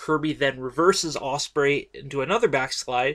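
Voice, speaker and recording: At a fairly slow pace, a man talks with vocal fry at a fairly high pitch. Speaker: wrestling podcast host. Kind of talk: podcast match recap. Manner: halting, many fillers.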